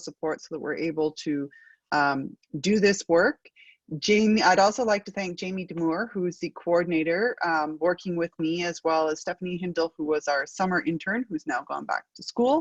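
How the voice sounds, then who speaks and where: With a strong Acadian accent, a woman speaks at a fairly low pitch and moderate pace with ordinary pitch variation, in a dry, close sound with no echo. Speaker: research network moderator. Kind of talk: panel webinar moderation.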